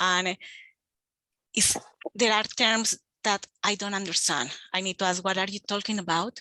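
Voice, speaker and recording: In a Spanish accent, a woman with a bright, sharp tone speaks at a moderate pace with fairly even intonation and long, frequent pauses, the sound dry and close with no echo. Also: medium pitch for a woman. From Colombia, Bogota. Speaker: extension agent. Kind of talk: group discussion in online meeting.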